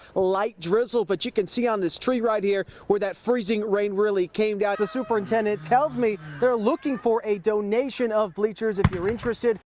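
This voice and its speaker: A man with an American accent talks at a high pitch and a fairly quick pace with ordinary pitch variation. His loudness stays very even over noticeable background noise. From Western Massachusetts, US. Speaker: TV news reporter. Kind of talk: TV news field reporting, live shots and packages. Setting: outdoors on location.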